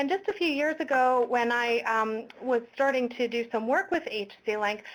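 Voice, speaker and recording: A woman's ordinary speaking voice with a Canadian accent, at a moderate pace and with ordinary pitch variation. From Quebec, outside Montreal. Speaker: health promotion webinar host. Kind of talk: webinar presentation. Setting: online webinar, in a room with colleague.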